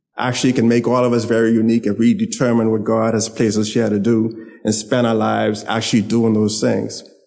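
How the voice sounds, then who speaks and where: Rather quick and medium in pitch, a man talks in an ordinary speaking voice. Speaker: son giving eulogy. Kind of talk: eulogy remarks.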